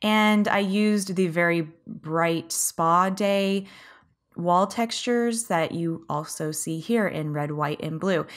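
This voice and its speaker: A woman with an American accent speaks at a very slow pace in a fairly low pitch, with ordinary pitch variation. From United States. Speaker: gaming YouTuber. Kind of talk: video game commentary. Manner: cheerful.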